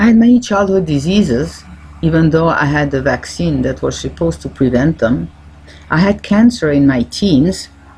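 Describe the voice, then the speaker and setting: Her voice has a dark, mellow tone and vocal fry, as a woman speaks at a very deep, low pitch and a moderate pace with very wide pitch swings. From French-speaking Switzerland. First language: French. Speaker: naturopathic doctor and coach. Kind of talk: self-help talk.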